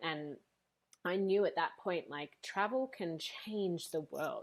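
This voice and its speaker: A woman with an Australian accent, fairly low-pitched, at a fairly slow pace. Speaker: speaker and coach, former teacher. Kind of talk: podcast interview. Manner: animated.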